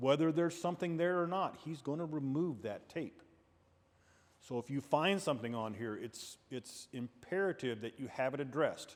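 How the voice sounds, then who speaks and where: In a very clean recording with a silent background, a man with a normal speaking voice talks at a moderate pace, his fairly high pitch carried by lively intonation. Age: 60s. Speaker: state police officer. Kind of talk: safety training talk. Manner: conversational.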